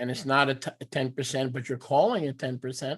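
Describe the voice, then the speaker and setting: This man speaks with an American accent at a fairly quick pace, his pitch medium. He has an ordinary speaking voice and fairly even intonation. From New York. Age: 60s. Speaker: teacher of a religious assembly. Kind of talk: teaching with live interpretation. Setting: video call.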